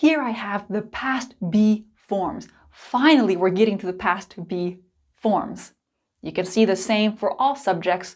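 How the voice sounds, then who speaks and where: In an American accent, a woman talks at a fairly slow pace in an unremarkable speaking voice, medium in pitch with ordinary pitch variation. The recording is very clean, with a silent background. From United States. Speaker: English teacher. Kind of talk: tutorial. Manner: clear and deliberate.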